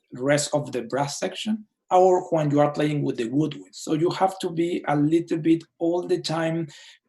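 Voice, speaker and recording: A man with a strong non-native accent talks at a moderate pace. His tone is dark and mellow, and somewhat breathy. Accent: thick foreign. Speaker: orchestra conductor. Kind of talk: casual chat. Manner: halting.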